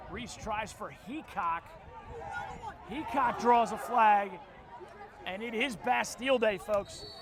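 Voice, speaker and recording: Over noticeable background noise, a man with a high voice speaks very slowly, leaving long, frequent pauses, with big swings in loudness and ordinary pitch variation. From Philadelphia, US. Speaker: lacrosse play-by-play commentator. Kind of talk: live sports commentary.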